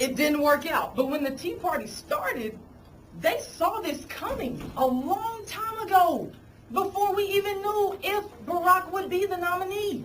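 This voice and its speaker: An animated tone at a fairly slow pace, with very wide pitch swings and audible room echo. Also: woman, extremely high pitch for a woman. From Arkansas. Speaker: congressional candidate. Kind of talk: campaign speech. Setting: committee meeting with audience.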